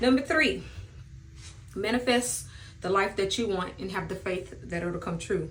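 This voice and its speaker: With audible room echo, a woman at medium pitch sounds somewhat breathy, speaking at a moderate pace with ordinary pitch variation. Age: 30s. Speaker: beauty vlogger. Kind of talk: casual chat.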